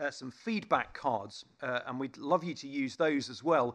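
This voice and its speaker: It's an unremarkable speaking voice with ordinary pitch variation. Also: man. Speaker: event host and vicar. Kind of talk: event introduction and interview. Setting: theatre with audience.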